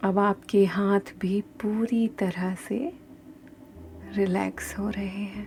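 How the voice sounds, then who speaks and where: A soft-spoken woman with medium pitch and fairly even intonation, music in the background. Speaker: meditation guide. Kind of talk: guided meditation. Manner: slow.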